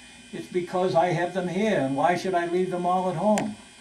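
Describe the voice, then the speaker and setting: A man's high voice at a moderate pace, with audible room echo and noticeable background noise. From Boston area, US. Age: 70s. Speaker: street singer. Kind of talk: documentary interview.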